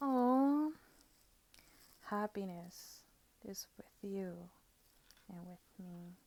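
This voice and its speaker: A woman with a medium pitch speaks at a very slow pace, leaving long, frequent pauses. Her tone is relaxed and her intonation lively. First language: not English. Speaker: tarot and oracle card reader. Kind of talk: product review with card walkthrough. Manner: relaxed, musing.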